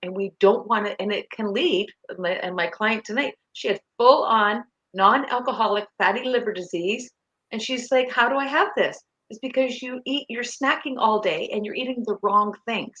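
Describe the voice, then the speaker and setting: With a Canadian accent, a woman speaks at a moderate pace and fairly high pitch, her tone bright and sharp, her pitch varying ordinarily, and her loudness swinging widely. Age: 60s. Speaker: nutrition coach. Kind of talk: interview.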